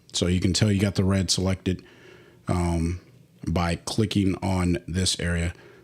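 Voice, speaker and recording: In a very clean recording with a silent background, a man speaks in a very deep, low pitch with flat, monotone intonation. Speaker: photography software tutorial creator. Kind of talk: tutorial.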